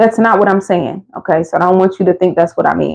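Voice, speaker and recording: Here a woman speaks with an American accent. Her tone is animated. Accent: Philadelphia accent, comes out at times. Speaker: motherhood vlogger. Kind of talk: casual advice monologue.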